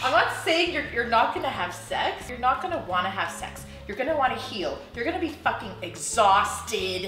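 Speech at a moderate pace with hardly any pauses rings with audible room echo while clear music plays in the background. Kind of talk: casual conversation. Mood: playful, laughing, frank. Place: home room. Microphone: camera far.

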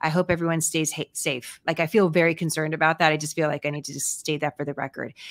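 Speaking at a fairly quick pace, a woman has a fairly low pitch and monotone, flat intonation. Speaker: podcast host. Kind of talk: interview question. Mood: earnest, concerned. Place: home room.

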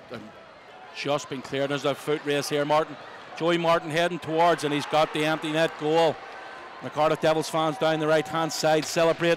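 A man talks at a fairly quick pace with a fairly high pitch. The sound is dry with no echo, but there is noticeable background noise. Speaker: ice hockey commentator. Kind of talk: live ice hockey play-by-play commentary. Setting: arena broadcast. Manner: fast, urgent, rising and falling with the action, clipped play-by-play. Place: stadium.

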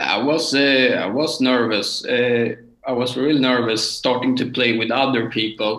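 A very slow delivery in a Swedish accent with hardly any pauses, very even loudness, fairly even intonation and audible room echo. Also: man, medium pitch for a man. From Sweden, Örebro. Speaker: beginner harmonica player, municipal board secretary. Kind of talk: interview. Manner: halting.

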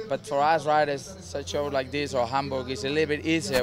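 With noticeable noise in the background, a man rattles off his words very fast. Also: dry sound with no echo. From Spain. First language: Spanish. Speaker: show jumping rider. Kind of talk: interview. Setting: outdoors. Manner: halting. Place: stadium.

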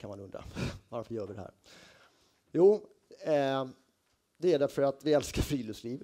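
Against a quiet background, a man talks in a dark, mellow tone. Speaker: seminar speaker on outdoor recreation. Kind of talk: lecture. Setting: stage with audience. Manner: animated, enthusiastic; halting, repeats words. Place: hall. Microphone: headset.

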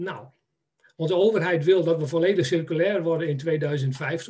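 A man's high-pitched voice with a dark, mellow tone. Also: quiet background. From Netherlands, Friesland (Harlingen); Friesland, Netherlands. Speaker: timber merchant and building biologist; webinar presenter. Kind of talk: presentation. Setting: web seminar. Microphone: video call.

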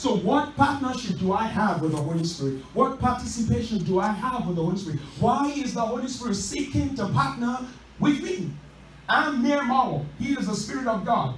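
At a moderate pace, a man talks with very wide pitch swings. The room echo is audible, and there is light background noise. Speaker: preacher. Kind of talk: sermon. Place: church.

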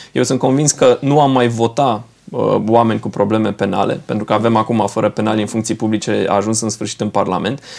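A man talking at a fairly quick pace with fairly even intonation. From Romania, Brașov; Romania. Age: 40s. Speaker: politician. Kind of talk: TV interview. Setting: studio. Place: studio.

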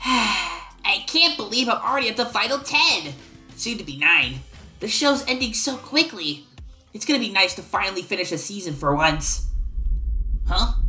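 A female-sounding, put-on character voice, fairly high-pitched for a woman, at a moderate pace with long, frequent pauses over faint background music. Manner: brash, impatient, cheerful.

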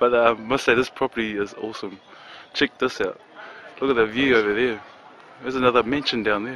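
Very fast, monotone, flat delivery in a dry sound with no echo and light background noise. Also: man. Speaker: guest. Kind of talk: casual vlog chat. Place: garden. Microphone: phone near.

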